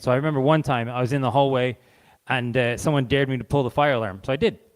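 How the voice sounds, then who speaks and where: Man with a Canadian accent, fairly high pitch, ordinary pitch variation and a very fast pace. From Canada. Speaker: charity representative. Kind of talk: talk to a live audience. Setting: stage with audience. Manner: informal.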